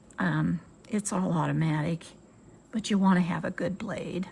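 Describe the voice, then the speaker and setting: In an American accent, a woman speaks fairly slowly at a medium pitch, with vocal fry and fairly even intonation. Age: 70s. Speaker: sewing and crafts YouTuber. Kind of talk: tutorial. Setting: home sewing room with windows open. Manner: casual, chatty with fillers.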